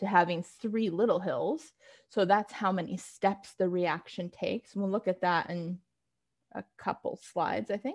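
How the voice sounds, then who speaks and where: A woman has an unremarkable speaking voice at a medium pitch. She talks at a moderate pace. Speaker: chemistry instructor. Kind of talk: lecture.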